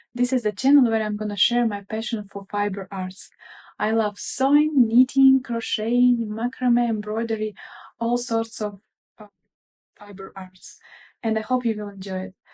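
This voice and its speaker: Close and dry with no echo, a woman's somewhat breathy voice carries a dark, mellow tone and fairly high pitch, moving at a moderate pace with fairly even intonation. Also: big swings in loudness. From Russia. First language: Russian. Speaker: craft vlogger. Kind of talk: casual show-and-tell vlog. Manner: hesitant, with fillers.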